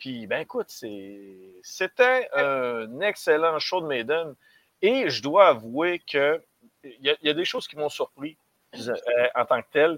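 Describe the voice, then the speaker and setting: A man speaks very slowly at a fairly high pitch, with very wide pitch swings and long, frequent pauses, in a dry, close sound with no echo. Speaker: metal music commentator. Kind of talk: casual chat.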